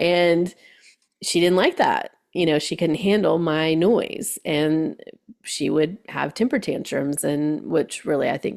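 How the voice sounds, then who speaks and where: The woman speaks at a very slow pace. Her pitch is fairly low, with ordinary pitch variation. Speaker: hypnotherapist and life coach. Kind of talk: casual chat. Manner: loud; animated.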